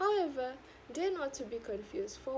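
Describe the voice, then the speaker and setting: A woman speaks with a Sabahan accent. Her intonation is lively. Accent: Malaysian (Sabahan) English. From Sabah, Malaysia. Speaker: university student. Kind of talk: speech competition talk.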